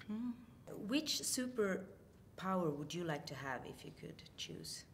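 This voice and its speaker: With a Swedish accent and vocal fry, a woman at medium pitch speaks at a very slow pace, using very wide pitch swings and big swings in loudness amid audible room echo. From Sweden. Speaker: film journalist. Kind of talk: interview.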